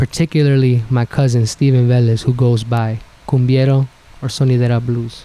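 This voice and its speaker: In a New York accent, a man talks with monotone, flat intonation. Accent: New York hip-hop speech. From New York, Bronx (Mexican-American, Puebla roots). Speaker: DJ. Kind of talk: casual interview chat.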